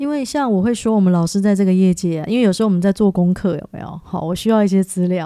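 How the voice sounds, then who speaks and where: A woman speaks at a very fast pace with hardly any pauses. Her pitch variation is ordinary. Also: medium pitch for a woman. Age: 40s. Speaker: podcast host and part-time social work student. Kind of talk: casual interview chat.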